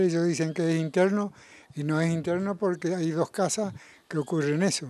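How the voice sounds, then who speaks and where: A man's high-pitched voice at a moderate pace, fairly even in intonation, with a dry sound and no echo. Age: 80s+. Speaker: resident complaining about sewage. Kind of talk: interview answer. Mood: frustrated, worried complaint. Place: garden. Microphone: handheld.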